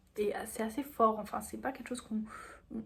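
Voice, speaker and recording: Here is a woman with a fairly high pitch and a somewhat breathy voice. Her pitch varies in an ordinary way. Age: 18. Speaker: vlogger. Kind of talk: casual vlog monologue.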